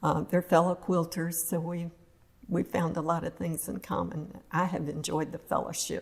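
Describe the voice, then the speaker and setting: Speaking at a moderate pace with an American accent, a woman uses a fairly low pitch, a somewhat breathy sound and monotone, flat intonation. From northern Florida. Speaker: retired resident interviewee. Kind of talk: casual interview.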